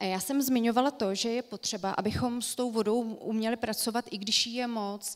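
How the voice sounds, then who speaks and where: A woman with a plain, everyday voice talks at a moderate pace with hardly any pauses. Her pitch is fairly high, her intonation fairly even, and the background quiet. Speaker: landscape architect; presenter. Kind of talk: lecture. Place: stage.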